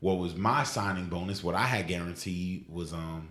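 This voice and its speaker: The voice has a New York accent. Audible room echo surrounds it. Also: man. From Queens, New York City. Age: 20s. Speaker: football player. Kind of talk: interview. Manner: casual.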